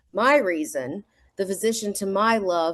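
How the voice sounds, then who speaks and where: In a Southern accent, a woman speaks at a fairly slow pace, the sound dry and close with no echo. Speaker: amateur sonnet reader. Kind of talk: reading aloud.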